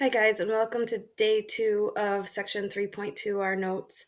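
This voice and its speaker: Recorded very cleanly against a silent background, a woman speaks with monotone, flat intonation. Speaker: math teacher. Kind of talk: recorded lesson tutorial. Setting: home recorded video with document camera. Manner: fast.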